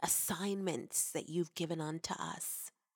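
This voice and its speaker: Against a silent background, a woman speaks in an animated, warm tone with a fairly low pitch and ordinary pitch variation. The recording is very clean, with a dry, close sound and no echo. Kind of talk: devotional teaching with prayer; fervent prayer. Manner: warm, earnest, reverent; animated, uplifting, encouraging.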